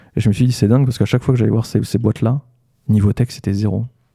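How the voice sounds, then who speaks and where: This man's pitch is fairly low, with a dark, mellow tone. The sound is dry and close, with no echo. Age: 30s. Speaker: entrepreneur and AI trainer. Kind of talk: casual interview. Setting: studio.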